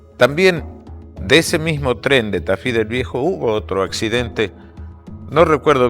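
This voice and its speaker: Over music in the background, a man with a medium pitch speaks at a fairly slow pace with very wide pitch swings. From Argentina, Tucumán. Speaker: radio announcer. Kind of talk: storytelling. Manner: conversational.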